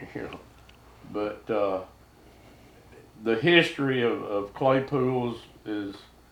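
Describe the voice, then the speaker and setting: A man with a Southern US accent speaks at a very slow pace and medium pitch, with ordinary pitch variation, big swings in loudness, long, frequent pauses and audible room echo. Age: 70s. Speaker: duck hunter. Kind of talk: casual chat.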